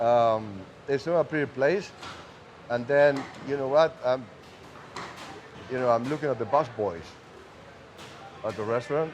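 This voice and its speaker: Speaking with a Spanish accent at a medium pitch, a man takes long, frequent pauses amid noticeable background noise. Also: ordinary pitch variation, moderate pace. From Uruguay. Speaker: cigar maker. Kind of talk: casual interview. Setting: cigar factory.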